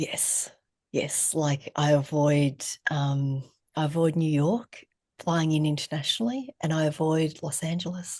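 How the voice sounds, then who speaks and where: A woman's very deep, low voice in an Australian accent, fairly slow, with ordinary pitch variation over a quiet background. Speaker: therapist and trauma educator. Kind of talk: casual interview conversation.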